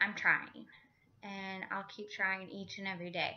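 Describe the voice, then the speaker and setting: The voice keeps a moderate pace with monotone, flat intonation. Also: woman. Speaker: vlogger. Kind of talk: personal video update. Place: home room. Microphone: phone near.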